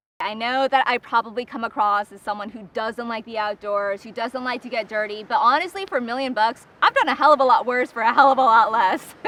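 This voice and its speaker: A woman with a high pitch talks at a fairly quick pace with hardly any pauses, her loudness swinging widely over noticeable background noise. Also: ordinary pitch variation. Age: 30s. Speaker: reality show contestant. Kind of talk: casting interview.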